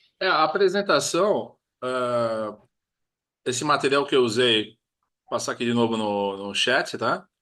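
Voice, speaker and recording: A man with a medium pitch and a bright, sharp tone speaks with lively intonation and big swings in loudness. He leaves long, frequent pauses against a quiet background. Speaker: project management trainer. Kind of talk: webinar lecture wrap-up. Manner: fast.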